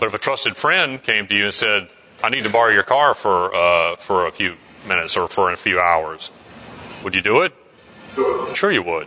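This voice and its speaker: Against noticeable background noise, a man with a fairly low voice talks at a moderate pace. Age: 40s. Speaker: Bible study class leader. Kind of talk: Bible study class discussion. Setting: church classroom, streamed online.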